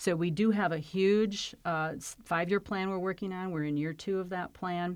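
An unremarkable speaking voice with an American accent at a moderate pace. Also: woman, medium pitch for a woman. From Flint, Michigan. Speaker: county health and human services executive. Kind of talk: interview.

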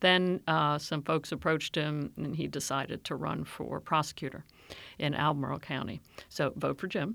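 A woman with an American accent speaks at a very deep, low pitch with vocal fry and fairly even intonation. Her pace is moderate on a very clean recording with a silent background. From Maryland, US (Silver Spring). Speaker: county government executive, urban planner. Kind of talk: interview.

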